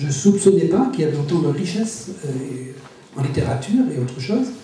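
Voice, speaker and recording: A man with a Breton accent speaks at a fairly high pitch and a moderate pace, with very wide pitch swings. Audible room echo and noticeable background noise fill the recording. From Brittany, France. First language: Breton (speaking French). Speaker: writer. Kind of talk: interview. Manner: halting, many hesitations.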